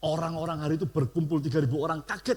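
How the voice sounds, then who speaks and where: Talking at a very fast pace, a man delivers the clip. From Surabaya, East Java, Indonesia. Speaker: pastor. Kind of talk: sermon.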